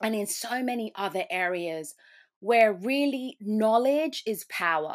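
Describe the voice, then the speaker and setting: Recorded very cleanly against a silent background, a woman speaks with lively intonation. Her pitch is fairly high. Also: fairly slow pace. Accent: British. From UK. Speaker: risk advisor. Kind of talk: interview.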